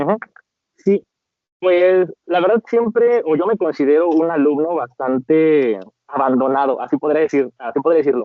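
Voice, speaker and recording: Here is a man with an unremarkable speaking voice and fairly high pitch. He keeps a moderate pace, very even loudness and lively intonation. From Mexico, Celaya, Guanajuato. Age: 30s. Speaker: lawyer and teacher. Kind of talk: interview.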